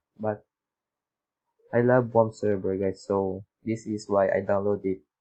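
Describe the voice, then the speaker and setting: With a Filipino accent and a dark, mellow tone, a man speaks at a very slow pace. His intonation stays fairly even. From Philippines. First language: Tagalog. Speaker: YouTube tutorial maker. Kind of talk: tutorial. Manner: halting.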